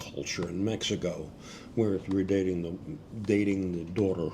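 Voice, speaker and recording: Over audible room echo, a man speaks in a dark, mellow tone with monotone, flat intonation. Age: 70s. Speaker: travel vlogger. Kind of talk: interview. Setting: sitting in Siem Reap, Cambodia.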